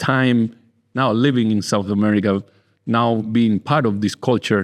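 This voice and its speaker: A man with a Spanish accent talks at a medium pitch and a fairly slow pace. The background is quiet. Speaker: winemaker and podcast host. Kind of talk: casual interview. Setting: in person. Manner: halting.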